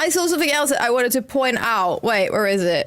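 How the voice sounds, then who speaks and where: This woman's voice makes very wide pitch swings. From Netherlands, Eindhoven (North Brabant). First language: Dutch. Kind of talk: live stream chat while gaming. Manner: casual, chatty.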